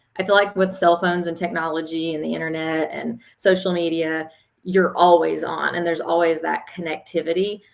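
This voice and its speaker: Fairly low in pitch, a woman speaks at a fairly quick pace in a monotone, flat delivery. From East Tennessee. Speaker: school board candidate. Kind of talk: casual interview chat.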